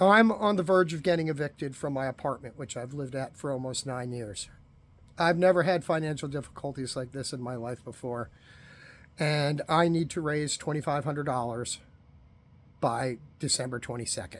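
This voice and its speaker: A man with an unremarkable speaking voice talks at a moderate pace, his fairly high pitch showing ordinary variation. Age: 50s. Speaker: unemployed man asking for donations. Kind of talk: personal appeal. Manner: conversational.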